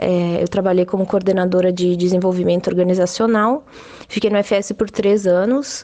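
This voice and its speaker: In a dark, mellow tone, a woman talks at a moderate pace. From Rio Grande do Sul, Brazil (Serra Gaúcha). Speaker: internal communications professional. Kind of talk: recorded voice message.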